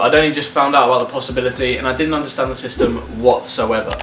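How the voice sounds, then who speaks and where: A man with a British accent speaks at a medium pitch over noticeable background noise. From UK. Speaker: student athlete, vlogger. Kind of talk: casual vlog. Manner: animated.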